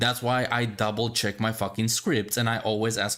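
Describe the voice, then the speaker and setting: On a very clean recording with a silent background, a man with a non-native accent speaks at a fairly slow pace with a fairly low pitch. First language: not English. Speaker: gaming podcast host. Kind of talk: casual chat reacting to a video. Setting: live stream. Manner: animated.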